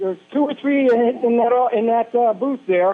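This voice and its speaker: With ordinary pitch variation, a man speaks at an extremely high pitch. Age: 60s. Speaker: radio caller. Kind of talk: call-in radio talk.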